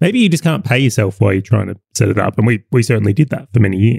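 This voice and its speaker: With an Australian accent, a man talks at a very fast pace in a medium pitch, his somewhat breathy voice dry and close with no echo. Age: 30s. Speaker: business owner and podcast co-host. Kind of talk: casual chat.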